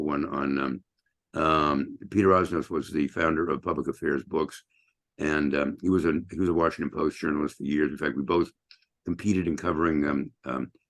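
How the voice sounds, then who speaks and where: A man talks at a fairly quick pace, with vocal fry in his voice. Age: 70s. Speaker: journalist and columnist. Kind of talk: online training talk. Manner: halting, many fillers.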